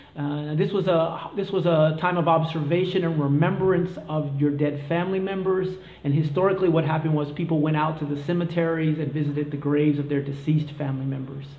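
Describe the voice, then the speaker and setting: A man with an American accent talks very fast at a fairly high pitch, with fairly even intonation and hardly any pauses. Noticeable background noise and audible room echo surround him. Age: 40s. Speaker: vlogger on expat life. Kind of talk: casual explainer vlog. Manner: hesitant, many fillers.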